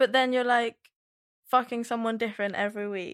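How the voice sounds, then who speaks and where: A woman with a British accent at a moderate pace, in a dry, close sound with no echo on a very clean recording with a silent background. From UK. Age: 20s. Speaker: podcast guest. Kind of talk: casual chat.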